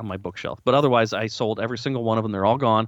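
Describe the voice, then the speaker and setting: The speech comes at a very fast pace against a quiet background. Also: man. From US Midwest, Lansing, Michigan. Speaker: podcast co-host, car enthusiast. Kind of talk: casual chat.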